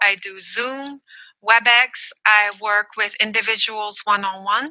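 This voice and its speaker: The voice has a bright, sharp tone and a French accent. It moves at a fairly slow pace with fairly even intonation. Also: woman, fairly high pitch for a woman. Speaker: emotional intelligence coach. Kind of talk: podcast interview.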